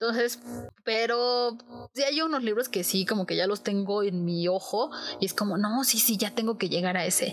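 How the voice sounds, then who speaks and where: With a fairly high pitch and ordinary pitch variation, a woman talks at a moderate pace and very even loudness. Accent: Mexican. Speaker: book podcast host. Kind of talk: casual monologue.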